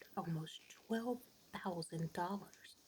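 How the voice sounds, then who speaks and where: Soft-spoken, the speaker goes along at a fairly slow pace. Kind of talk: ASMR soft-spoken fun-fact narration. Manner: soft-spoken, relaxing.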